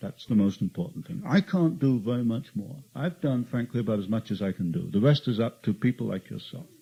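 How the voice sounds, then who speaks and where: Speaking at a fairly quick pace with hardly any pauses, a man uses a medium pitch and a dark, mellow, somewhat breathy tone, with very wide pitch swings. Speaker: author and researcher. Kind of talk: talk to an audience. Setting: meeting with audience.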